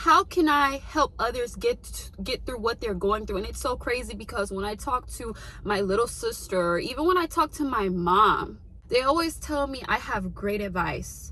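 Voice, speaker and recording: A woman speaks in an animated tone at a moderate pace over noticeable background noise. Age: 20s. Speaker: lifestyle vlogger. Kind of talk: motivational talk.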